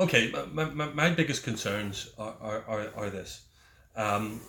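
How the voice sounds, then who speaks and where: Recorded very clean against a silent background, a man with a Northern Irish accent talks in a medium pitch with a bright, sharp tone and lively intonation. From Northern Ireland. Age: 50s. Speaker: politician and ex-soldier. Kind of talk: interview. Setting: his office. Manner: halting, repeats words.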